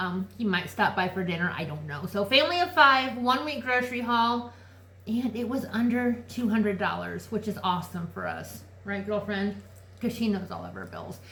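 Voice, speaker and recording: In a room with audible echo, a woman speaks at a moderate pace. Her voice is fairly high, with big swings in loudness. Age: 40s. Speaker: lifestyle vlogger. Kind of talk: casual chat. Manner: animated.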